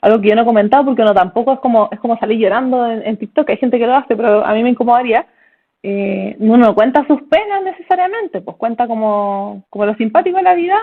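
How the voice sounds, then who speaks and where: A woman's fairly high voice in a Chilean accent at a very fast pace. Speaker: neurologist. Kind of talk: casual chat. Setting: video call. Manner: animated.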